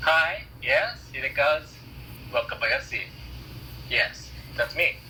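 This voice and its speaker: A man with a Japanese accent, speaking very slowly over noticeable background noise. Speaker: musician. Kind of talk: interview. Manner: halting.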